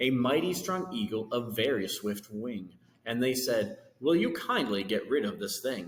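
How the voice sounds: Natural voice for reading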